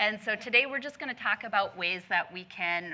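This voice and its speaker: A bright, sharp tone carries this voice at a moderate pace. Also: woman, very clean recording, silent background. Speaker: talk show co-host, women's ministry leader. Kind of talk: casual panel chat. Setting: studio with live audience. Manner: loud.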